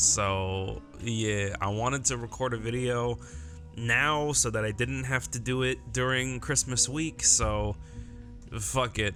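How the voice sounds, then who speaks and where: With music in the background, a man speaks at a very slow pace and a medium pitch. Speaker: gaming YouTuber. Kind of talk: casual talk to camera. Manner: casual, profane.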